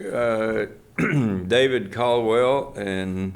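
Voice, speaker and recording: In a room with audible echo, a man with an American accent speaks at a fairly low pitch with fairly even intonation. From Austin, Texas. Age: 70s. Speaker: archivist and professor. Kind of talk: interview. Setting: archive reading room. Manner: hesitant with frequent fillers.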